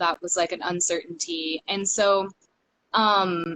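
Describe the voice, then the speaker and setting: In an American accent, a woman with an ordinary speaking voice talks at a fairly slow pace and medium pitch, her intonation fairly even and the sound dry and close with no echo. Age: 20s. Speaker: stripper and cam worker. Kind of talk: casual interview chat. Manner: many fillers, um and like.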